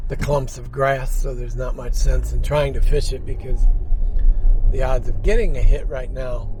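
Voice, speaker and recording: There is audible room echo and noticeable background noise as a man talks at a moderate pace. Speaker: fishing vlogger. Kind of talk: casual vlog talk. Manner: monotone.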